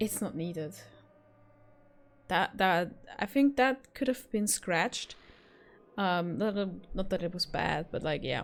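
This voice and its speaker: Speaking fairly slowly with a non-native accent, a woman uses a medium pitch and lively intonation, leaving long, frequent pauses. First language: not English. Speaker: gaming YouTuber. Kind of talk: game review wrap-up. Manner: hesitant, many fillers.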